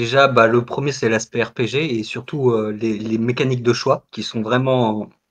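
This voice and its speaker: A man at medium pitch, monotone and flat, at a fairly slow pace with hardly any pauses, over a quiet background. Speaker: stream participant. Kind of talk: casual chat. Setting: voice chat.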